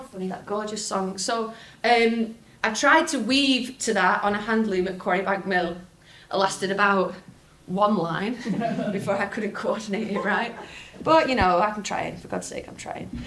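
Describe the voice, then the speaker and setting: At a moderate pace, a woman with a northern English accent speaks at a medium pitch with ordinary pitch variation and big swings in loudness. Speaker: folk singer. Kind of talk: folk talk to live audience. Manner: lively, chatty.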